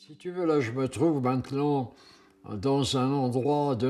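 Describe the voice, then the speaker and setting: A man talks at a very slow pace. His pitch sits in the medium range. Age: 80s+. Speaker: sailor. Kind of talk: interview answer. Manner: hesitant, reflective.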